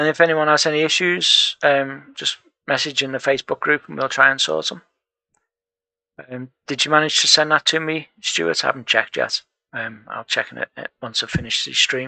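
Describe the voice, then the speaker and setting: A man with a northern English accent speaks quietly at a moderate pace, with long, frequent pauses and big swings in loudness, the sound dry and close with no echo. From northern England. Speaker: programming tutor and live streamer. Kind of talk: live coding stream chat. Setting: home room, live stream. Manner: quietly spoken.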